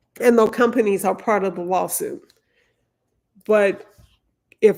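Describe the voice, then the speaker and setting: Speaking with a Louisiana accent, a woman keeps her intonation fairly even. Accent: Southern US (Louisiana). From Louisiana, US South. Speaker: lawyer, legal commentator. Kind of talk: live stream commentary. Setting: live stream. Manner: slow.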